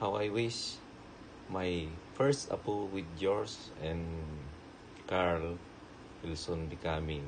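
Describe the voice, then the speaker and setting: A man with a fairly low pitch at a very slow pace, over noticeable background noise. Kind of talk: personal video message. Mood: warm, affectionate. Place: home room. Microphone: phone near.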